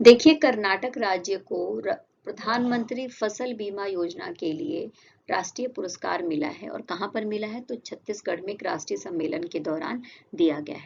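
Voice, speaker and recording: The voice moves at a fairly slow pace while the pitch swings very widely. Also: woman, medium pitch for a woman, big swings in loudness. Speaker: current affairs teacher. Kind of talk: lecture; casual chat.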